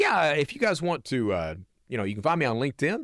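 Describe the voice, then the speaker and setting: Lively intonation from a man with an Appalachian accent, a dry, close sound with no echo and a very clean recording with a silent background. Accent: Southern US (Appalachian). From US South, eastern Kentucky (Hazard). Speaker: reformed cybercriminal, security consultant and speaker. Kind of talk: interview, personal storytelling.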